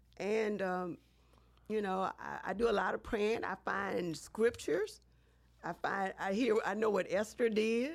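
A woman with an American accent and an unremarkable speaking voice, medium in pitch, fairly even in intonation, at a fairly slow pace. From US South, Baton Rouge, Louisiana. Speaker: city council member and candidate. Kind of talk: interview.

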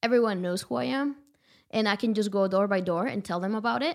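At a fairly quick pace, a woman with a Spanish accent speaks at a medium pitch with lively intonation in a very clean recording with a silent background. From rural Guanajuato, Mexico. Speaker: visual artist. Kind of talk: casual interview chat.

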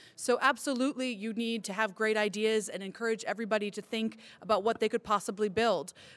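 At a very fast pace, a woman with an American accent and fairly high pitch speaks on a very clean recording with a silent background. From California. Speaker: cybersecurity entrepreneur. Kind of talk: live panel discussion. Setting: stage with audience.

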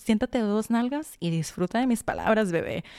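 A woman with ordinary pitch variation, in a very clean recording with a silent background and a dry, close sound with no echo. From Sonora, Mexico. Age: 20s. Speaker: podcast host. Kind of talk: personal monologue. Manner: talkative.

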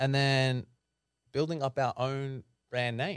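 With an Australian accent, a man speaks at medium pitch. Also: very clean recording, silent background. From Sydney, Australia (the Shire). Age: 30s. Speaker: mortgage broker and economist. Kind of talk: interview conversation.

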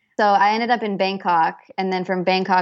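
With an American accent, a woman speaks at a moderate pace and medium pitch in an unremarkable speaking voice. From US, Idaho (Boise). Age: 20s. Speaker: photographer. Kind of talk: interview. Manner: casual, many fillers and repetitions.

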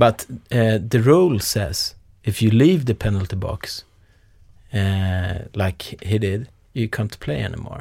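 A man with a Swedish accent speaks at a fairly slow pace and fairly low pitch, somewhat breathy. His tone is dark and mellow, and his intonation is lively. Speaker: podcast host. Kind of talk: interview.

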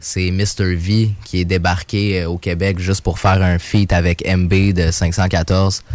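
Very deep and low, a man speaks at a very slow pace in a flat monotone, with hardly any pauses. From Quebec (Mont-Saint-Hilaire). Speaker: rapper. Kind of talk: casual interview chat.

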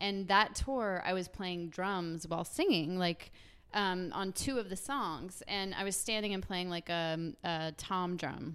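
At a fairly slow pace, a woman with an American accent and medium pitch uses a plain, everyday voice with ordinary pitch variation, on a very clean recording with a silent background. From US South. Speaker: musician. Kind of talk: casual chat.

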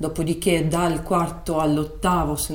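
Fairly slow speech from a woman amid noticeable background noise and audible echo in the room. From Moldova, Russian-speaking family in Chisinau. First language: Russian (speaking Italian). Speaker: Italian teacher, immigrant telling her story. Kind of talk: interview storytelling.

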